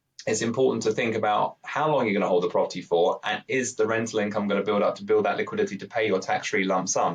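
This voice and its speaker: Someone with a British accent speaks at a fairly quick pace. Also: man. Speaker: pension provider expert. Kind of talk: podcast interview. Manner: slightly halting.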